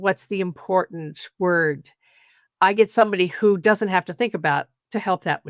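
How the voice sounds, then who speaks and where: A woman's fairly slow, medium-pitched speech with an American accent and ordinary pitch variation, dry and close with no echo, on a very clean recording with a silent background. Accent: American, noticeable when speaking German. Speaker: communication coach. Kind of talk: podcast interview.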